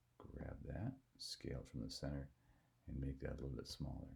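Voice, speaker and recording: A man talks quietly at a moderate pace. His tone is dark and mellow, with vocal fry. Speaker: software tutorial teacher. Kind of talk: tutorial. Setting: at home. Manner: speaking quietly.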